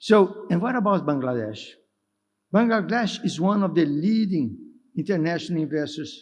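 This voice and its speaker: At a moderate pace, a man with a Brazilian accent speaks in a high voice with lively intonation and audible room echo. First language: Portuguese. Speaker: development finance executive. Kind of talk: conference speech. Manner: halting, with self-corrections.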